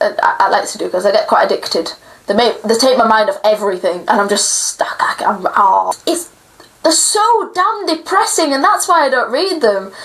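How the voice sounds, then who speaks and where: The speaker talks in a British accent at a moderate pace, with very wide pitch swings and very even loudness. Noticeable background noise is present. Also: woman, high pitch for a woman. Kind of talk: casual talk to camera.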